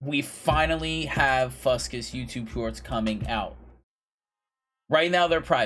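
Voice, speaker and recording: A man's animated tone at a fairly slow pace, broken by long, frequent pauses. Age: 30s. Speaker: streamer. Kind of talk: casual chat.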